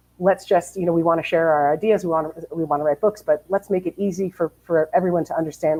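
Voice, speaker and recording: Delivered at a very fast pace in an American accent, the speech keeps a fairly even intonation. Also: woman. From New Jersey, US. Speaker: publishing editor. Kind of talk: webinar presentation.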